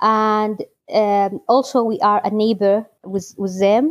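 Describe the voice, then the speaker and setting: A woman with a Kurdish accent, a fairly high pitch and fairly even intonation. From Iraqi Kurdistan (Halabja). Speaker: electrical engineer at a recycling project. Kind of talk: interview. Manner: halting.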